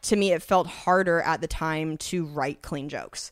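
A woman with an American accent, fairly low in pitch, with fairly even intonation, on a very clean recording with a silent background. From Washington State, US. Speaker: comedian. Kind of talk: casual chat.

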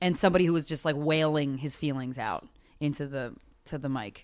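In a very clean recording with a silent background, a woman with an American accent speaks in a very deep, low pitch with ordinary pitch variation. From Philadelphia suburbs, Pennsylvania. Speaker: comedian and podcaster. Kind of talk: casual chat.

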